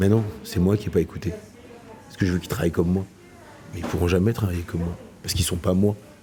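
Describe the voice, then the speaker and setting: With noticeable noise behind him, a man with a very deep, low pitch talks very fast in a monotone, flat delivery, his loudness swinging widely and his speech marked by long, frequent pauses. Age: 40s. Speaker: chef and restaurant owner. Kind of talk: interview answer.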